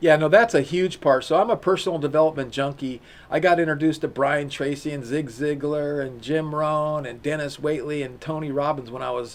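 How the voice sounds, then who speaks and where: An ordinary speaking voice from a man, fairly high in pitch, at a fairly quick pace with hardly any pauses and ordinary pitch variation. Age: 60s. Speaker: e-commerce company founder and CEO. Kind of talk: interview.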